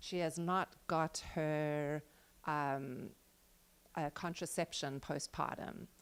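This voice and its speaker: Over a very clean recording with a silent background, a woman with a very deep, low pitch speaks at a very slow pace with fairly even intonation and long, frequent pauses. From South Africa. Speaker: pediatric physician. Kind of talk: panel discussion.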